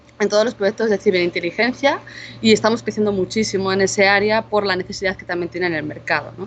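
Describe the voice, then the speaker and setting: A woman speaks with a Spanish accent. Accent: Spanish (Spain). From Spain. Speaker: cybersecurity intelligence manager, conference speaker. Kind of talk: conference talk. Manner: casual conversational with fillers.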